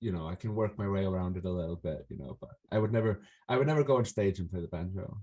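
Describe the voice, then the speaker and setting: A man talks at a very fast pace with an Icelandic accent. His pitch is fairly low. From Iceland, Reykjavik. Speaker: folk musician. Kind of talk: interview. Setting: video call. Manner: halting, many fillers.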